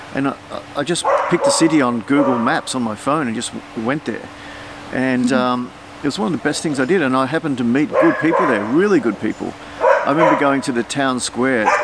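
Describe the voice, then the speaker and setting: A man with an Australian accent talks at a fairly quick pace with ordinary pitch variation. Loud background noise is present, though the sound is dry with no echo. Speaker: family vlogger and artist. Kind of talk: casual chat. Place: garden.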